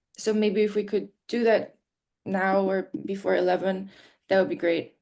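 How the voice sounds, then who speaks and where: In a Polish accent, the voice has a dark, mellow tone, fairly even intonation, very even loudness and a moderate pace. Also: woman, medium pitch for a woman. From Poland. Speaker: session moderator. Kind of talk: casual chat. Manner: hesitant, many fillers.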